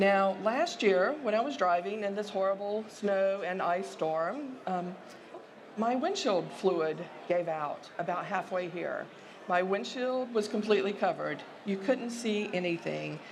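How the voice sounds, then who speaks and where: A woman with a Southern US accent at a fairly slow pace, ordinary pitch variation, audible room echo and noticeable background noise. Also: medium pitch for a woman. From US South. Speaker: sociology professor. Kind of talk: conference presentation.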